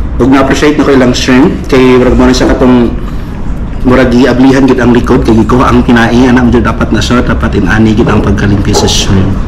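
Noticeable background noise sits under a man's fairly quick speech. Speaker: food vlogger. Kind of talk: casual vlog chat. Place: cafe.

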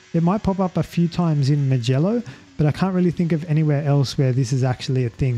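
A fairly quick pace with music in the background. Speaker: racing driving coach. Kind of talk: sim racing tutorial narration.

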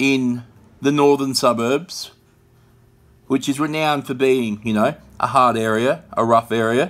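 Fairly even intonation marks a man talking at a moderate pace. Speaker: vlog host. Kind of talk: casual vlog commentary. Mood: sad, reflective. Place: home room. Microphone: phone near.

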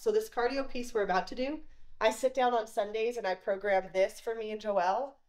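The background stays quiet. Speech moves at a moderate speed. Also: woman. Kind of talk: casual vlog chat. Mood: upbeat, friendly. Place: garage. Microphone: camera far.

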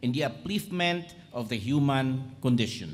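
Here a man speaks at a fairly slow pace. His voice is somewhat breathy. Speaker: ceremony announcer. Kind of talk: formal announcement, reading citation. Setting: stage with audience. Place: hall. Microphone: podium.

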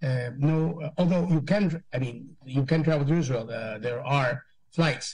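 Over a quiet background, a man with a fairly high pitch and ordinary pitch variation speaks at a fairly slow pace, sounding somewhat breathy. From Philippines. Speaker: government undersecretary. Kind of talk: press briefing. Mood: calm, measured, official. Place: office. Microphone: video call.

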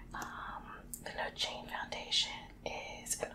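The speaker is a woman. She whispers. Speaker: ASMR creator. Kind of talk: ASMR whispered reading and casual talk to camera. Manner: whispering, soft-spoken. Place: home room. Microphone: studio mic.

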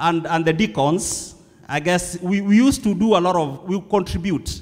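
A man's voice moves at a moderate pace, its pitch varying in an ordinary way. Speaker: preacher. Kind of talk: sermon. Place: church. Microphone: handheld.

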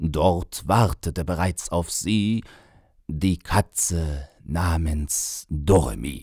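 A man with a very deep, low pitch talks at a very slow pace with ordinary pitch variation, on a very clean recording with a silent background. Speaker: author and voice narrator. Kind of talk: humorous poetry reading.

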